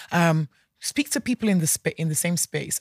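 A woman with a fairly low pitch and ordinary pitch variation speaks at a fairly quick pace, somewhat breathy, in a dry, close sound with no echo on a very clean recording with a silent background. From Nigeria. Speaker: entrepreneur, founder of a social enterprise. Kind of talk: interview. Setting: studio.

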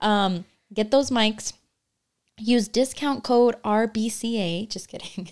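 A woman's fairly high voice at a very slow pace. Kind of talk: casual chat. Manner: animated; loud.

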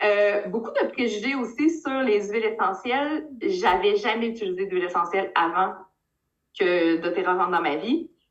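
A woman with a Quebec accent talks at a moderate pace and medium pitch. Her intonation is lively. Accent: Québécois French. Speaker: direct sales leader. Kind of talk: interview.

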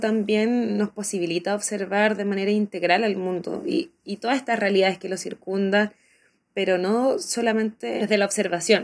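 This woman's medium-pitched voice shows ordinary pitch variation as she talks at a moderate pace. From Chile. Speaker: popular educator, teacher. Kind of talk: interview. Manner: halting, with fillers and repetitions.

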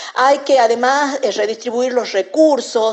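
A woman talks over noticeable background noise. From Argentina, San Miguel de Tucumán. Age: 50s. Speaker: literature scholar. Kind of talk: interview. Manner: halting, many fillers.

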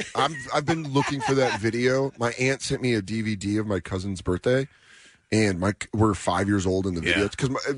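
Using ordinary pitch variation at moderate pace, a man with an American accent speaks at medium pitch in a dry, close sound with no echo. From Aurora, Colorado. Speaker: stand-up comedian. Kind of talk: casual radio interview. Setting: radio studio. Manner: animated.

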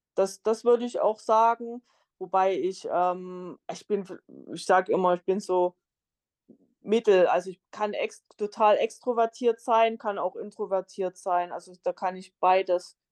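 A woman at medium pitch speaks at a fairly slow pace with long, frequent pauses, fairly even intonation and big swings in loudness, the sound dry and close with no echo. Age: 30s. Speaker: solo traveller and travel blogger. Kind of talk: interview. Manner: many filler sounds.

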